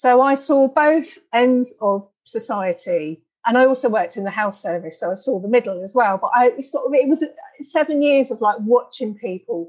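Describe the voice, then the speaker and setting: A high-pitched woman with a British accent, lively intonation and a moderate pace. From UK. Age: 50s. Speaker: podcast host and healer. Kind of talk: interview.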